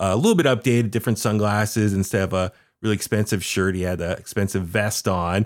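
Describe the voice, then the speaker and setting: A man talks at a very fast pace in a fairly low voice with fairly even intonation. The recording is very clean, with a silent background. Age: 40s. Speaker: wrestling fan and podcast guest co-host. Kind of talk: casual wrestling talk-show chat. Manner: loose, filler-heavy with frequent uh and restarts.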